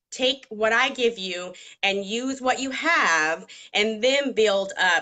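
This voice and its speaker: With a Southern US accent, a woman speaks at a fairly high pitch. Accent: Southern US (Georgia). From Georgia, US South. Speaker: makeup artist. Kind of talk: tutorial. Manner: conversational with fillers.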